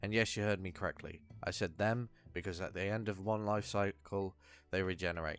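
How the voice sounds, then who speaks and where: A man with a British accent speaks at a fairly quick pace and fairly low pitch. His intonation stays fairly even over music in the background. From UK. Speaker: video essayist. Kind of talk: video essay.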